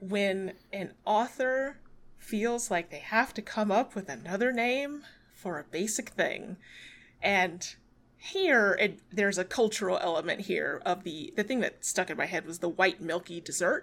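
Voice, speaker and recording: At a fairly slow pace, a woman with a normal speaking voice talks at medium pitch with lively intonation. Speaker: podcast co-host. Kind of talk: casual book discussion podcast.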